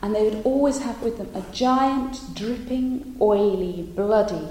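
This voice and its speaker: Over noticeable background noise, a woman speaks at a fairly slow pace in an animated, dramatic tone. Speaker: storyteller and artist. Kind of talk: storytelling performance of an old tale. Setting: live performance to an in-person audience. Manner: animated, dramatic, with character voices and rhythmic repetition.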